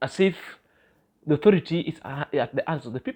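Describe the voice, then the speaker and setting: The speaker has a Kenyan accent. Behind the voice, the background is quiet. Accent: Kenyan accent, others say they love it. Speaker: YouTube vlogger. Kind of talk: vlog commentary monologue. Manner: halting with fillers and self-corrections.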